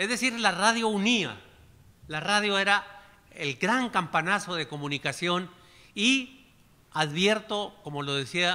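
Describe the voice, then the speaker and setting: With a bright, sharp tone, a man speaks at a very slow pace in lively intonation. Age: 70s. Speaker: chronicler / historian; panelist. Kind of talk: panel discussion. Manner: animated. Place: hall. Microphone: podium.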